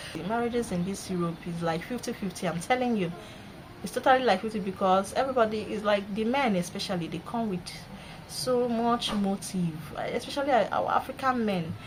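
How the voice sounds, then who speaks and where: With a Nigerian accent, this speaker moves at a fairly quick pace and uses ordinary pitch variation. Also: woman, medium pitch for a woman. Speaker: vlogger. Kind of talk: casual vlog monologue. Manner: animated.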